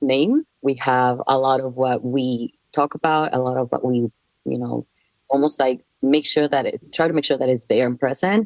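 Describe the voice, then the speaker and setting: Her pitch is very deep and low for a woman. She keeps a moderate pace and fairly even intonation. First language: not English. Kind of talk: casual group chat.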